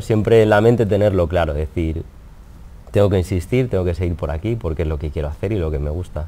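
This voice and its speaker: The man's pitch varies in an ordinary way. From Spain. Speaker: wedding photographer; interviewee. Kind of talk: interview. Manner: hesitant, repetitive. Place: studio. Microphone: lapel.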